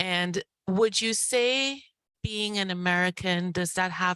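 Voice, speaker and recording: Her pace is fairly slow, and the woman's pitch varies in an ordinary way. The sound is dry and close with no echo, in a very clean recording with a silent background. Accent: non-native. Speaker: audience member. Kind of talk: audience question.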